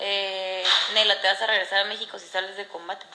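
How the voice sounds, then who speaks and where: Light background noise and audible room echo accompany a woman's voice. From Mexico, La Paz, Baja California Sur. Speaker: reality competition contestant. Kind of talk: casual livestream chat. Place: home room. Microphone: phone near.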